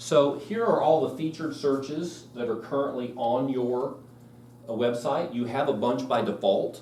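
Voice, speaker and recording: Noticeable background noise and audible room echo accompany speech at a moderate pace with ordinary pitch variation. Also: man, medium pitch for a man. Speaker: real estate software trainer. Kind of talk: live class tutorial. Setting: classroom with live audience.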